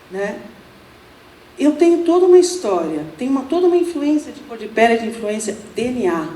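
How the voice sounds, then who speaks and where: A woman's high voice, fairly quick yet with long, frequent pauses, very wide pitch swings and big swings in loudness, amid audible room echo and noticeable background noise. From Brazil, São Paulo. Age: 60s. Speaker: Buddhist nun, speaker. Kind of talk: lecture. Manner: casual, humorous.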